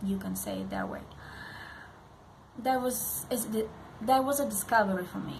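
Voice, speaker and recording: A woman with a non-native accent speaks at a moderate pace with long, frequent pauses. Noticeable background noise and audible room echo are present. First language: not English. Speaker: parenting vlogger. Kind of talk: direct-to-camera vlog. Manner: halting, many fillers.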